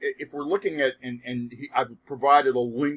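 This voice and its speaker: A man with a fairly high pitch talks at a moderate pace, varying it in an ordinary way. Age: 60s. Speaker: sociology professor. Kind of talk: lecture. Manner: halting.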